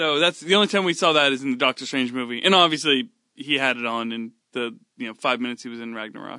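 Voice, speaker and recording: A man's medium-pitched voice, bright and sharp in tone, at a very fast pace with big swings in loudness and ordinary pitch variation, over a quiet background. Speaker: podcast co-host and sci-fi comedy author. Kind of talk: casual chat. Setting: sharing one microphone, sitting close together.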